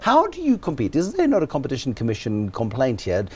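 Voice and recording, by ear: A man speaks at a medium pitch with big pitch swings. His pace is fairly quick and his tone slightly mellow.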